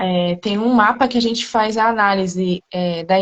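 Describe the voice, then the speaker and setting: A woman's medium-pitched voice at a fairly slow pace with fairly even intonation. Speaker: astrologer. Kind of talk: informal explanation in live chat. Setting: live video call. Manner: soft-spoken.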